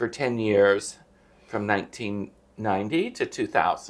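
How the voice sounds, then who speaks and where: A man talks with an American accent. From USA. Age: 60s. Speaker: retired expat YouTuber. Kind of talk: interview answer.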